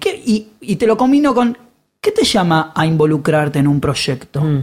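A fairly slow delivery in a Rioplatense accent. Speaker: podcast host. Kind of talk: interview.

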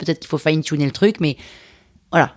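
An animated, fairly low-pitched female voice on a very clean recording with a silent background. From France, Limousin. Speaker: podcast producer and artist. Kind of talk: interview.

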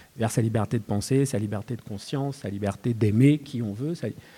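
A medium-pitched man talks at a moderate pace, with ordinary pitch variation. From Cameroon (Douala). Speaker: poet and novelist. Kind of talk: panel talk at a literary festival. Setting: stage with live audience. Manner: halting, frequent word repetitions.

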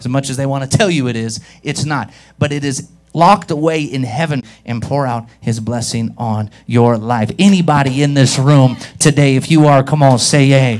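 A man with an unremarkable speaking voice talks at a medium pitch with ordinary pitch variation, recorded very cleanly against a silent background. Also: moderate pace. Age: 30s. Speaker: pastor. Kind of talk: Sunday sermon in a church service; revivalist altar call, preacher in full flow. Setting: church with live congregation. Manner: warm, urging, conversational.

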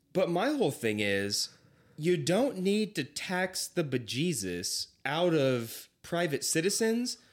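Recorded very cleanly with a silent background, a man with an American accent speaks at a very slow pace in a high pitch with very wide pitch swings. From California, Lodi area. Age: 20s. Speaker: podcast guest, travels for work. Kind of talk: casual chat.

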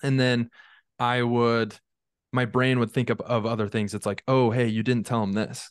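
In an ordinary speaking voice, a man with an American accent talks at a moderate pace and medium pitch. His intonation is fairly even, and the background is quiet. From Utah, US. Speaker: mental fitness coach. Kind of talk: casual interview.

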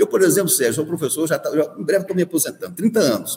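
A high-pitched man with lively intonation over noticeable background noise. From Minas Gerais, near Diamantina (rural Rio Vermelho). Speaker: university rector, dentist and professor. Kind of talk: radio interview. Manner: hesitant, many fillers.

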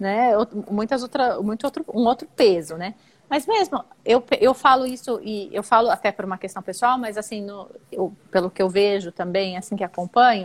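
In a plain, everyday voice, a woman with fairly high pitch speaks at a moderate pace, the sound dry and close with no echo. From Brazil, São Paulo. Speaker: perinatal family support worker. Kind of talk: casual interview.

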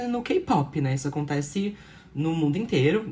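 A woman's somewhat breathy voice with very wide pitch swings, at a moderate pace. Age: 20s. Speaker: podcast co-host. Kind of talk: casual chat.

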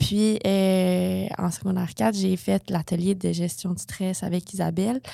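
At a fairly slow pace, a woman speaks with hardly any pauses and ordinary pitch variation. Her medium-pitched voice has a dark, mellow tone. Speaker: medical student. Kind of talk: interview testimony.

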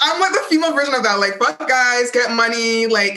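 Lively intonation carries the voice over noticeable background noise. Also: woman. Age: 20s. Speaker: holistic wealth coach. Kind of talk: casual chat.

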